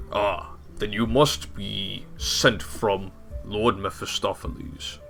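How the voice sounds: Against clear music in the background, a man does a put-on character voice at a very slow pace.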